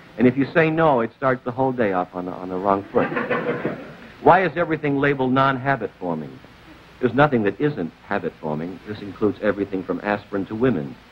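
Over light background noise, a man talks at a very fast pace. His pitch is medium, with very wide pitch swings. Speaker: talk show host. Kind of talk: stand-up monologue on a TV talk show, with a studio audience. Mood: wry, joking. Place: studio. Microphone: old recording.

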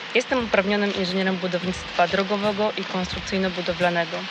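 Noticeable background noise sits behind a woman speaking at a very fast pace. Her pitch is medium and her intonation fairly even. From southern Poland. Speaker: local election candidate. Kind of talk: campaign speech. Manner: formal.

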